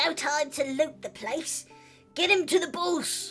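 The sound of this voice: A put-on character voice, high-pitched and raspy, speaks at a fairly slow pace over clear background music.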